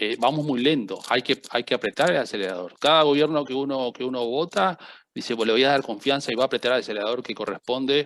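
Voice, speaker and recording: Speaking at a very fast pace in a Rioplatense accent, a man is heard over a quiet background with a dry, close sound and no echo. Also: medium pitch for a man, ordinary pitch variation. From Uruguay. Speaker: seminar panelist. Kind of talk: panel discussion.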